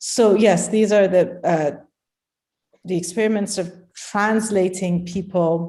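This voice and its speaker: A woman with a dark, mellow tone talks fairly slowly, her pitch varying in an ordinary way. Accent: Persian. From Iran. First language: Persian. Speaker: poet and translator. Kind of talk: conversational interview. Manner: halting, many fillers.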